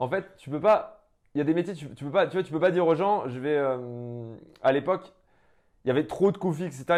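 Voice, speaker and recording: A man speaks against a quiet background. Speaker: entrepreneur. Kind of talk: interview. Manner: loud; fast.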